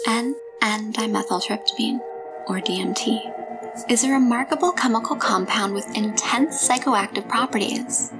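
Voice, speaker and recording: With music in the background, a woman speaks at a fairly slow pace. Her pitch is fairly high, with ordinary pitch variation. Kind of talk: documentary narration.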